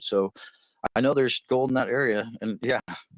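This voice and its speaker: With a dry, close sound and no echo, a man talks at a fairly quick pace in an ordinary speaking voice, his pitch varying in an ordinary way, on a very clean recording with a silent background. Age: 60s. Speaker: hobby gold prospector. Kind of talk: casual chat.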